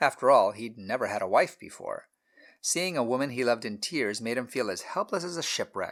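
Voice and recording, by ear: Lively intonation marks someone reading aloud in a natural voice, with a quiet background.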